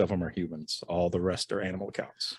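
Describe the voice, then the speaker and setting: A man with a very deep, low pitch talks very fast. The background is quiet, and the sound is dry and close with no echo. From Rhode Island. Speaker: insurance agent. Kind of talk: interview. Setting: studio. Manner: soft-spoken.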